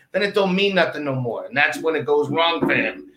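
Here a man speaks in a raised, projected voice. His intonation is lively. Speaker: sports talk show co-host. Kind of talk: casual banter, sports talk show.

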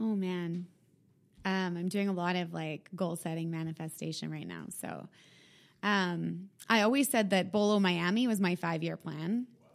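A woman with an unremarkable speaking voice talks at a fairly slow pace and fairly low pitch, with ordinary pitch variation, on a very clean recording with a silent background. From Canada, Winnipeg. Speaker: fitness studio founder. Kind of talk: casual interview.

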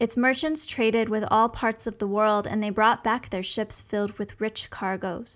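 In a plain, everyday voice, a woman with a fairly high pitch speaks at a moderate pace with hardly any pauses and fairly even intonation, in a very clean recording with a silent background. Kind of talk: scripted fairy-tale narration. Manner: measured, storytelling cadence.

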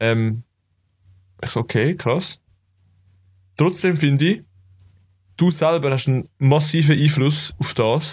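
A man with a fairly high voice talks at a very slow pace, leaving long, frequent pauses. His pitch varies in an ordinary way, the sound is somewhat breathy, and the recording is very clean with a silent background. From Switzerland, Zurich area (Kloten). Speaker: podcast co-host. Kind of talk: casual chat.

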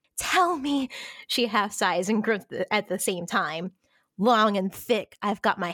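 The background stays quiet while a natural reading voice carries the text.

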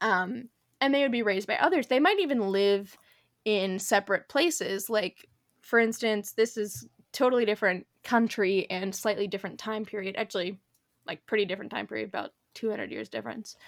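Here is a woman with a plain, everyday voice at medium pitch, speaking fairly quickly with ordinary pitch variation. The recording is very clean, with a silent background and a dry, close sound with no echo. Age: 20s. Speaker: podcast host. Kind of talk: casual chat. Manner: casual with frequent fillers.

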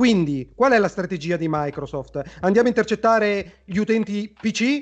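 Lively intonation marks a man's high voice as he talks at a moderate pace. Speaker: video game commentator. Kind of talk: live-streamed heated debate. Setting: video call. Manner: animated.

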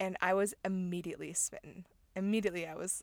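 With an American accent and an animated tone, a woman speaks at a medium pitch in a very clean recording with a silent background. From US Midwest, Chicago area, later Utah. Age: 20s. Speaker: podcast co-host. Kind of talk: casual chat. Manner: animated, laughing often.

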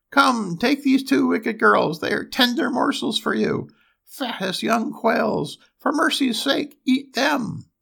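The speaker puts on a character voice, shrill and fairly high in pitch. The pace is fairly slow.

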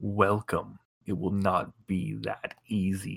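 A man's put-on character voice, fairly low in pitch, at a very slow pace. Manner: ominous.

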